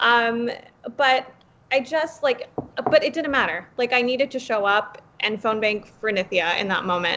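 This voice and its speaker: A woman with an American accent speaks at a moderate pace in a high pitch. Her tone is animated, with ordinary pitch variation. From Los Angeles, Pacoima (San Fernando Valley). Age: 20s. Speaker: political podcast panelist and campaign organizer. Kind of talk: casual chat. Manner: animated, emotional.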